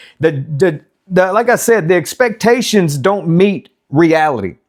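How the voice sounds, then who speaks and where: This man speaks with a high pitch and ordinary pitch variation. The recording is very clean, with a silent background. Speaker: business and life advice YouTuber. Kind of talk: casual monologue / rant. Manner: halting, repeats words; animated, casual with swearing.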